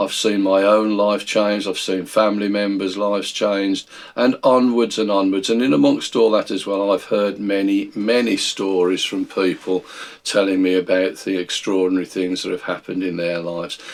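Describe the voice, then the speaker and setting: With a British accent, a man speaks at a moderate pace. His fairly low voice has fairly even intonation. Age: 60s. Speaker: Bible teacher. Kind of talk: video Bible study talk. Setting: recorded video.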